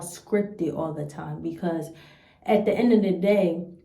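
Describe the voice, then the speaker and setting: A somewhat breathy voice with a dark, mellow tone and an American accent sounds out against audible room echo. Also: woman. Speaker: YouTuber. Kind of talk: reaction video commentary. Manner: blunt, stern.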